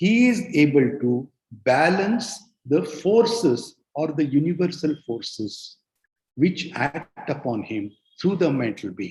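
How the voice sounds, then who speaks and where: Very slowly, a man with a fairly high pitch and vocal fry speaks with very wide pitch swings. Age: 60s. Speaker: spiritual speaker. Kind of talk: lecture. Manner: halting.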